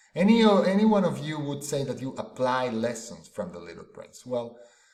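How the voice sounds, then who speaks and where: A man's fairly high voice with very wide pitch swings, at a moderate pace, in audible room echo. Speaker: executive and life coach, conference speaker. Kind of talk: conference presentation. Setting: stage with audience. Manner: dynamic, interactive.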